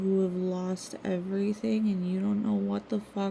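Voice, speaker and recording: Somewhat breathy and dark, mellow in tone, a woman speaks at medium pitch with monotone, flat intonation. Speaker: vlogger painting on stream. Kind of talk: casual monologue. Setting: at home.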